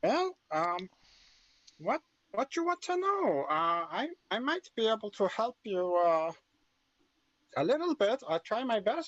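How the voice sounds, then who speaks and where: Putting on a character voice, a man speaks high and squeaky with very wide pitch swings. He goes at a fairly slow pace, with long, frequent pauses. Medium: actual play. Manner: hesitant, stammering, broken English.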